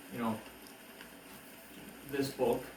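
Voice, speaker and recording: A man talks at a medium pitch while noticeable background noise and audible room echo fill the recording. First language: Korean (bilingual with English). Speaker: book reviewer / YouTuber. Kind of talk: casual monologue book review. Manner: halting, many fillers.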